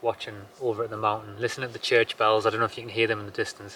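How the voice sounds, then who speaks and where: A man speaks at a medium pitch in a bright, sharp tone. His intonation is flat and monotone. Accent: Geordie. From northern England, Newcastle area. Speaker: homesteader vlogger. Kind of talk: casual vlog chat. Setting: outdoors at sunset, homestead.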